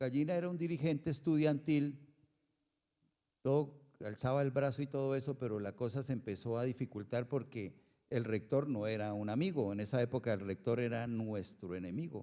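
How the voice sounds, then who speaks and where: Here a man speaks at a moderate pace, in a medium pitch with ordinary variation. His tone is dark and mellow. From Colombia, Bucaramanga (Santander). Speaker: cultural manager. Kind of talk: interview.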